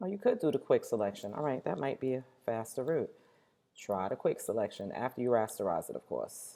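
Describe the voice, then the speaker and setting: A woman talking at a fairly quick pace on a very clean recording with a silent background. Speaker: teacher. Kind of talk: tutorial. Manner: fast.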